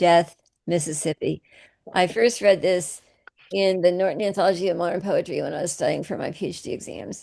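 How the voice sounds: The recording has a quiet background. It carries a natural reading voice with fairly even intonation.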